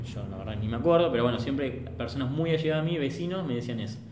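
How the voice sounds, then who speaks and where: Pitch swings very widely at a very fast pace, in a Rioplatense accent. Room echo is audible. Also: man. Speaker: photographer, podcast host. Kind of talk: casual chat.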